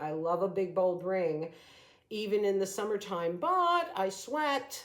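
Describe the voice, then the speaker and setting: An unremarkable speaking voice from a woman, medium in pitch, fairly slow, with ordinary pitch variation. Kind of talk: sales pitch. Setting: at sister's house. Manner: casual, chatty.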